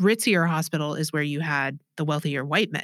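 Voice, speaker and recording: A woman with an American accent and a very deep, low pitch speaks at a fairly quick pace with fairly even intonation. The recording is very clean, with a silent background. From Texas, Austin. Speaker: archivist. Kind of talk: interview.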